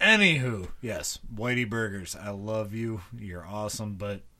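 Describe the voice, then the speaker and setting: Bright, sharp tone from a man at a medium pitch. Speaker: guest, childhood friend. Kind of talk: casual chat. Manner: jokey.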